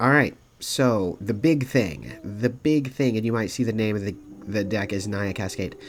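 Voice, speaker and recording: Music plays behind a man who speaks at a moderate pace and medium pitch with lively intonation. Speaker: gaming content creator. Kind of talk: gameplay deck explanation.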